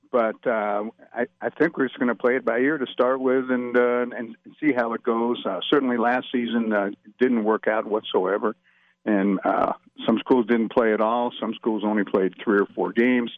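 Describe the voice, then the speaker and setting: A man speaks at a medium pitch and a moderate pace, with fairly even intonation. He has an ordinary speaking voice. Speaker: sports officials executive. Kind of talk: radio interview.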